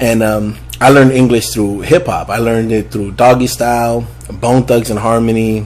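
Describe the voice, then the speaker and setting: Noticeable background noise sits behind a man speaking at a moderate pace. His pitch is medium and his intonation is monotone and flat. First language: Spanish. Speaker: music producer and rapper. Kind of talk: casual interview chat. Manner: casual, profanity-laden.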